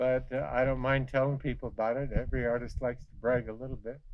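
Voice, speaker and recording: Speaking fairly quickly, a man uses a medium pitch and a monotone, flat intonation. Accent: American. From Western Colorado. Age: 70s. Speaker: artist. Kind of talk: casual tour talk. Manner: halting, many fillers.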